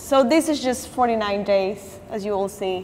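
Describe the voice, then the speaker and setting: A woman speaks at a moderate pace with a Latin American accent, her pitch fairly high and its variation ordinary. Background noise is noticeable. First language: Spanish. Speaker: artist. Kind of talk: artist talk with slides. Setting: gallery talk with audience. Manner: halting, with restarts and fillers.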